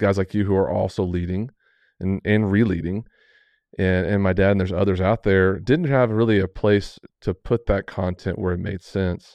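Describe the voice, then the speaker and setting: A man with an American accent talks at a moderate pace in an unremarkable speaking voice. His pitch is fairly low and his intonation fairly even. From Texas (Amarillo). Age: 40s. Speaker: ministry CEO. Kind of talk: casual interview.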